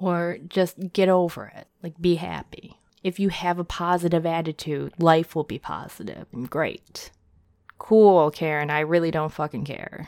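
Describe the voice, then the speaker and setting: With an American accent and a normal speaking voice, a woman talks at a fairly slow pace with fairly low pitch and fairly even intonation, in a dry, close sound with no echo on a very clean recording with a silent background. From United States (adopted from South Korea). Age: 30s. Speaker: podcast host. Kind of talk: casual monologue.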